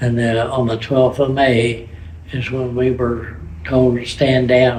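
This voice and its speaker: The pace is fairly slow. Room echo is audible. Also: man. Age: 80s+. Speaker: war veteran. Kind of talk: testimony. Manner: halting.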